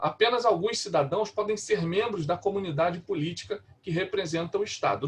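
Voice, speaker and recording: A man's high-pitched voice. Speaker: pastor. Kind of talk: lecture. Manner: halting.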